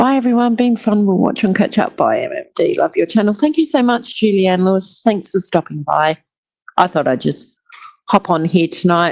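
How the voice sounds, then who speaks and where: With an Australian accent, a woman speaks at medium pitch and a moderate pace, her voice making very wide pitch swings. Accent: Australian, called bland by herself. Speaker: YouTube live streamer. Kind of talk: casual live-stream chat. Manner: chatty, animated.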